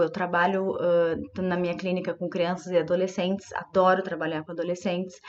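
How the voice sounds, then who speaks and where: This is a woman speaking. She has a southern Brazilian accent. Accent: gaúcho Brazilian Portuguese. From southern Brazil, Rio Grande do Sul. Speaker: psychologist. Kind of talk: informal presentation to students.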